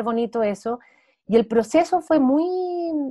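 A woman speaks in a Santiago Chilean accent. Her intonation is lively. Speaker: actress and playwright. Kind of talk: interview. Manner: casual, many fillers.

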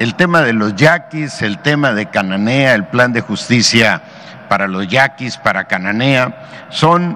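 Over noticeable background noise, a man with a medium pitch speaks at a very slow pace with lively intonation. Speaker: state governor. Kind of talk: briefing with slides.

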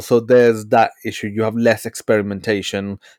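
A medium-pitched man's flat, monotone delivery in a dry, close sound with no echo. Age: 30s. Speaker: podcast host. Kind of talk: casual interview chat.

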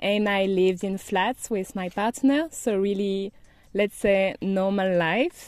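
A woman speaks at a fairly slow pace with a French accent. Her voice sits at a medium pitch and has ordinary pitch variation. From France, Brittany. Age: 30s. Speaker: digital nomad. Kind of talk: interview.

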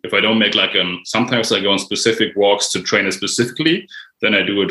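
A man's bright, sharp voice with a German accent at a fairly quick pace. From Germany. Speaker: mindfulness writer and online creator. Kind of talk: casual conversation.

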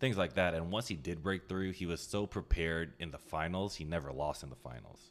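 Fairly quick male speech, very deep and low, with vocal fry and ordinary pitch variation. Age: 20s. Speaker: podcast co-host. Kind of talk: casual chat. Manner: halting, many fillers.

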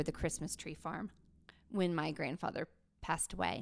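In a very clean recording with a silent background, a woman speaks with an Appalachian accent and ordinary pitch variation. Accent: Appalachian Southern US. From Appalachia, western North Carolina. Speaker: theater educator and author. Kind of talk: casual interview.

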